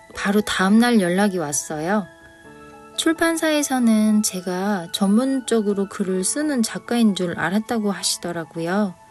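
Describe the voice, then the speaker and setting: Music plays behind a woman speaking fairly slowly. Her intonation is lively. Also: medium pitch for a woman. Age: 50s. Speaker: picture book author and illustrator. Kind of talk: personal story told to camera.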